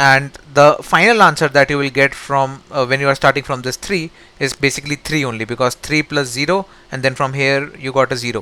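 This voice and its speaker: Fairly quick and fairly even in intonation, a man's voice sits at a fairly high pitch with a bright, sharp tone. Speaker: software engineer, coding tutor. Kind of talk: tutorial.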